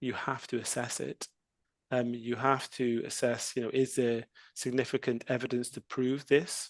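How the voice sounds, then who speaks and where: Against a quiet background, a man talks with monotone, flat intonation in a dry, close sound with no echo. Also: medium pitch for a man, moderate pace. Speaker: civil lawyer. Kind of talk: podcast interview. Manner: conversational, many fillers.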